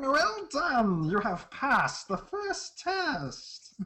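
Putting on a squeaky character voice, a woman speaks very slowly at a high pitch, her pitch swinging very widely.

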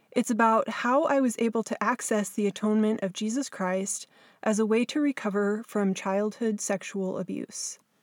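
A woman with a West Coast US accent and a fairly high pitch speaks at a moderate pace with fairly even intonation, in a dry, close sound with no echo on a very clean recording with a silent background. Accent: General American, West Coast. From Southern California. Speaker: podcast host and abuse survivor author. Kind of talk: scripted narration.

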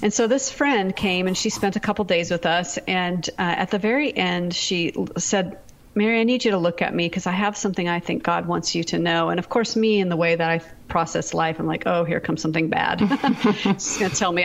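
A plain, everyday voice from a woman with an American accent, medium in pitch with ordinary variation, very even in loudness and at a fairly quick pace. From US Pacific Northwest. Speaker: author and speaker. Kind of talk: testimony.

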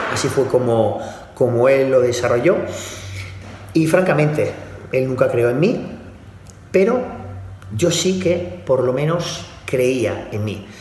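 A man speaks at a very slow pace with lively intonation and long, frequent pauses, his pitch medium, over audible room echo and noticeable background noise. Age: 40s. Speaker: bodybuilding coach. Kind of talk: motivational monologue.

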